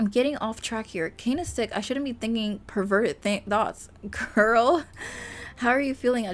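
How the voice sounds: The reading comes in a natural reading voice whose pitch varies in an ordinary way.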